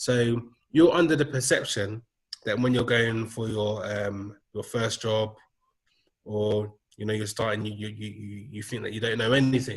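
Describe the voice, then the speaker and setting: Somewhat breathy and medium in pitch, a man with a London accent speaks at a moderate pace with fairly even intonation and big swings in loudness. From London, England. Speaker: digital marketing manager. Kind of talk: casual interview chat. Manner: hesitant, many fillers.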